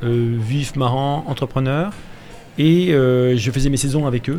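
The man speaks at a fairly high pitch. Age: 50s. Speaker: clothing brand founder. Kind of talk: radio interview, casual chat. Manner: animated.

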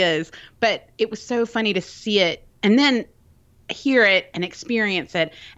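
A medium-pitched woman's voice in a Southern US accent. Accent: Southern American. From US South, Birmingham, Alabama. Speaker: podcaster and cake pop baker. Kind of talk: casual chat.

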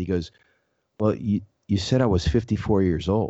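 With a fairly low pitch, the man talks using ordinary pitch variation. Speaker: interviewer, magazine publisher. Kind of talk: casual interview.

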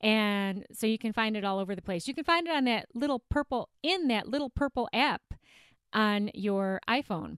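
Her American accent and fairly high pitch come through a dry, close sound with no echo as the woman speaks at a moderate pace in an animated tone with lively intonation. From not the US South. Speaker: weight loss coach and podcast host. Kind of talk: solo podcast monologue.

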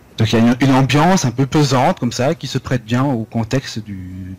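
At a moderate pace, a man speaks with a somewhat breathy voice. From France, Lorraine (Vosges). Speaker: French teacher. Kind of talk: interview. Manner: hesitant, with fillers.

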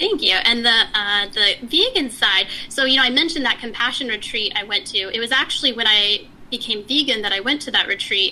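A woman with an American accent speaks at a fairly quick pace, her fairly high pitch carried by lively intonation over noticeable background noise. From Texas. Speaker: software engineering leader and founder. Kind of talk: interview. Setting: remote call.

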